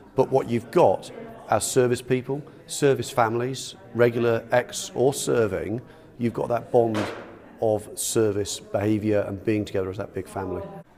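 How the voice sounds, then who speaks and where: Over music in the background, a man talks at a moderate pace with a medium pitch and ordinary pitch variation. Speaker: retired senior air force officer, volunteer befriender. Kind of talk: interview answer.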